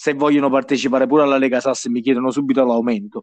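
A man speaks at a medium pitch with a slight Neapolitan accent. The sound is dry and close, with no echo. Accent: slight Neapolitan-sounding. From southern Italy, Bisceglie (Apulia). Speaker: fantasy football league player. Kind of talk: casual chat.

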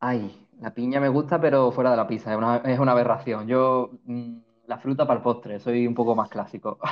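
Here a man with an unremarkable speaking voice talks at a moderate pace and a medium pitch. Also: fairly even intonation. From Málaga, Andalusia, Spain. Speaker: midwife. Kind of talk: casual interview.

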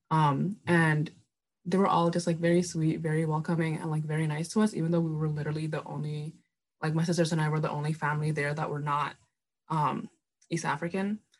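The speech comes at a fairly quick pace, somewhat breathy, with a monotone, flat intonation. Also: woman, very deep, low pitch for a woman. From Minneapolis, US (moved from Indonesia at age 8). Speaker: recent university graduate. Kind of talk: casual chat.

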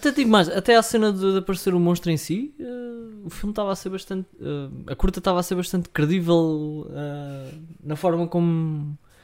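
A high-pitched male voice with ordinary pitch variation at a moderate pace. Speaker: film podcast co-host. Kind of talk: casual chat.

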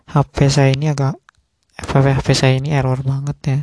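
A woman's very deep, low pitch in a dark, mellow tone, monotone and flat in intonation, dry and close with no echo. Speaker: solo podcaster. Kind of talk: casual monologue. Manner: halting, many fillers.

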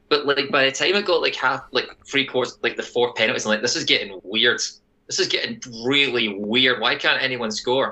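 A man with a Scottish accent at medium pitch, fairly quick in pace, with ordinary pitch variation. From Scotland. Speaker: soccer podcast host. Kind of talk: casual sports podcast banter. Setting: remote recording, different time zone from co-hosts.

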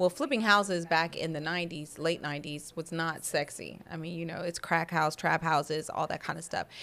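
A woman with an American accent and an ordinary speaking voice talks at fairly low pitch and a fairly quick pace, with fairly even intonation and hardly any pauses. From Denver, Colorado. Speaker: entrepreneur. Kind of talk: interview.

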